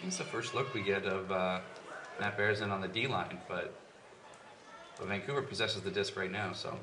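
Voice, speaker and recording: Over noticeable background noise, a man talks at a fairly quick pace. His pitch is fairly low, and he leaves long, frequent pauses. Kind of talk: live commentary. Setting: stadium broadcast. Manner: animated, excitable play-by-play, quick bursts of 'ooh' and 'big' calls; rapid, clipped, reacting as plays unfold.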